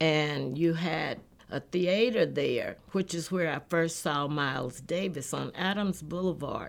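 A woman with an American accent speaks very slowly at a fairly low pitch, with ordinary pitch variation. The recording is very clean, the background silent. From Texas (Houston). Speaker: jazz radio events coordinator. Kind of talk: interview recollection.

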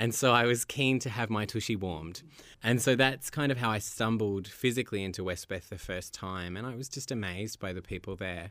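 Fairly quick speech with an Australian accent and ordinary pitch variation, on a very clean recording with a silent background. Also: man, fairly low pitch for a man. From Australia, Melbourne. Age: 30s. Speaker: documentary filmmaker. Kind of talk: interview.

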